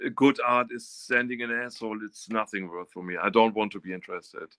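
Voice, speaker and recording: This voice has a bright, sharp tone and fairly even intonation, with a dry, close sound and no echo. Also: man. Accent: German. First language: German. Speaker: artist. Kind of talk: interview. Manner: halting.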